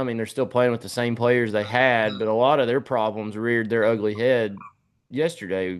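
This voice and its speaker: With a Tennessee accent, a man talks at a fairly quick pace and medium pitch. His intonation stays fairly even against a quiet background. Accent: US Southern (Tennessee). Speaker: sports podcast host. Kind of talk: casual sports talk.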